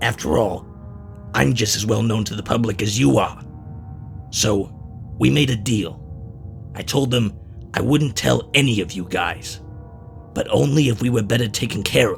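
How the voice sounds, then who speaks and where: Using a put-on character voice, a man leaves long, frequent pauses against clear background noise. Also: fairly low pitch for a man, moderate pace. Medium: audio drama. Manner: blunt, profane.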